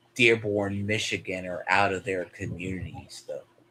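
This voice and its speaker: A man with a slight Texan accent speaks at a fairly slow pace, fairly low in pitch, his tone bright and sharp. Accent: slight Texan southern drawl. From Texas, US. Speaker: streamer. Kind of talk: casual chat.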